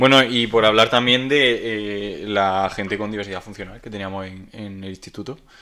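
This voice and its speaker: With an unremarkable speaking voice and a fairly low pitch, a man keeps a moderate pace with hardly any pauses, fairly even intonation, and big swings in loudness. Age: 20s. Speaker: podcast co-host, graphic designer. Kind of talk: casual chat. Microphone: cheap microphone and headset.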